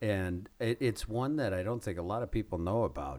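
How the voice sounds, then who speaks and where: In an ordinary speaking voice, a man talks at a moderate pace and fairly low pitch with lively intonation on a very clean recording with a silent background. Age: 30s. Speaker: podcast host. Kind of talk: casual chat.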